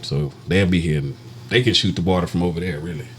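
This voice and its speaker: A man with a Texan accent speaks in a very deep, low voice. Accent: Texan, says born for barn. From Texas, Dallas. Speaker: podcast co-host. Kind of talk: casual chat.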